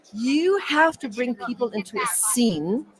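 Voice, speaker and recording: Noticeable background noise surrounds a dry, close sound with no echo. A woman speaks at a very slow pace with a fairly high pitch and very wide pitch swings. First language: not English. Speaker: communication coach for entrepreneurs. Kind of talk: interview.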